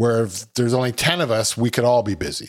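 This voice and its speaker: In a very clean recording with a silent background, a man with a Canadian accent and an unremarkable speaking voice talks fairly quickly at a medium pitch. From Ontario, Canada (Milton, near Toronto). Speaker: food truck owner, chef. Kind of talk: casual interview.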